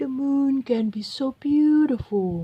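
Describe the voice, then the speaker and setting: A female-sounding voice uses a put-on character voice with a high pitch. The delivery is fairly slow. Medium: read story.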